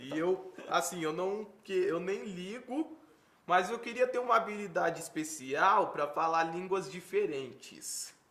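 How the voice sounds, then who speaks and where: A man with a high voice speaks at a fairly slow pace with lively intonation over noticeable background noise. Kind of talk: interview. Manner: slow, paused speech; stutters when nervous.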